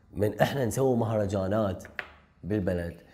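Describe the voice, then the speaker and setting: A man with a fairly low pitch, a dark, mellow tone and lively intonation, over a quiet background. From southern Iraq (Nasiriyah, Dhi Qar); Iraq. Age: 30s. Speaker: film director; guest. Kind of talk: interview. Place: studio. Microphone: lapel.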